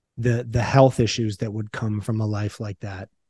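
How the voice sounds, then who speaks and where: A man's somewhat breathy, dark, mellow voice, fairly low in pitch, against a quiet background. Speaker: podcast co-host. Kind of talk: casual chat. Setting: recording at home.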